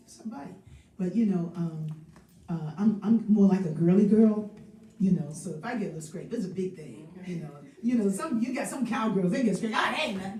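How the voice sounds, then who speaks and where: Amid noticeable background noise and audible room echo, a woman speaks with lively intonation and big swings in loudness. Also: medium pitch for a woman, fairly quick pace. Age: 70s. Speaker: singer and spiritual host of a live stream. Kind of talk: casual chat. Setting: live stream.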